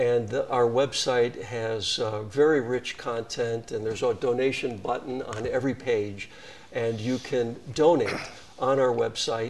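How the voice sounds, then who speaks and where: Over noticeable background noise, a man with an American accent talks at a fairly slow pace in a medium pitch, with fairly even intonation. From Wisconsin, US Midwest. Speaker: nonprofit CEO. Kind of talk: interview.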